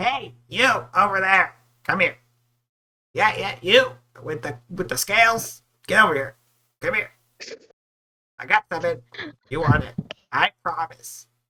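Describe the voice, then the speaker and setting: Using a put-on character voice, a man talks in a high pitch at a moderate pace, with long, frequent pauses. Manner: pushy, urgent, insistent.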